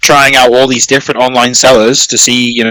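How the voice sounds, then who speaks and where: Dry and close with no echo, a man's bright, sharp voice sits at a medium pitch and moves at a fairly quick pace. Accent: British. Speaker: online community owner. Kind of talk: interview answer. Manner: casual, hesitant.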